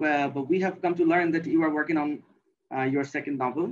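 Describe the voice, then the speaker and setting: Speaking at a fairly quick pace in a Bengali accent, a man shows ordinary pitch variation. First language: Bangla. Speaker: literary editor and interviewer. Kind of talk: interview. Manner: halting, many fillers.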